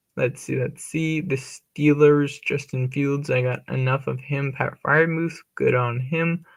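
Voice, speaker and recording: Fairly high in pitch, a man talks at a fairly slow pace with ordinary pitch variation. He has an ordinary speaking voice. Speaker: fantasy football streamer. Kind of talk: live stream commentary. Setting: live stream.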